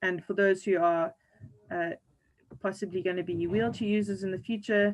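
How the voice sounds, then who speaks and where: A woman's medium-pitched voice with fairly even intonation and long, frequent pauses. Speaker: physiotherapist. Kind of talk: online seminar presentation. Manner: fast.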